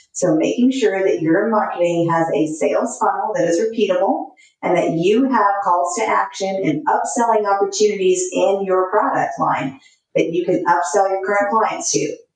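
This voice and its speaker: A woman's medium-pitched voice at a moderate pace, with very even loudness. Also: ordinary pitch variation. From US South, Texas/Louisiana. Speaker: marketing consultant. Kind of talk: podcast interview.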